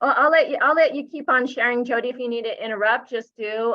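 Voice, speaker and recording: The woman's voice sits at a high pitch. Her pitch varies in an ordinary way. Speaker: nonprofit regional director. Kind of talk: presentation. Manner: fast.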